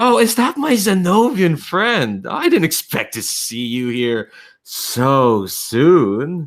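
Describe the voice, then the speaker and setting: In a put-on character voice, a man speaks at a very slow pace with a fairly high pitch and very wide pitch swings. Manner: smarmy, superior, sly.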